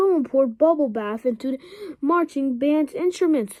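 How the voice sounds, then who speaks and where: Using a put-on character voice, a woman speaks at a moderate pace with a high pitch. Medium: read story.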